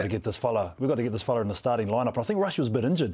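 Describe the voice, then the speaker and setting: In a very clean recording with a silent background, a man speaks at a medium pitch in a dark, mellow tone. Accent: New Zealand. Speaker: sports podcast host. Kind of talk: interview. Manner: casual.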